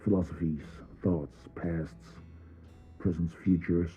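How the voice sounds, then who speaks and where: With music in the background, a man delivers a dramatic reading in a very deep, low voice, at a fairly slow pace and with fairly even intonation. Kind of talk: reflective essay narration. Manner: dramatic pauses.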